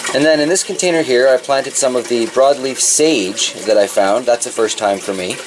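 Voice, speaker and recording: Noticeable noise fills the background. Over it, a man speaks at a moderate speed. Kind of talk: casual vlog chat. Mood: relaxed, cheerful. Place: garage. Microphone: phone near.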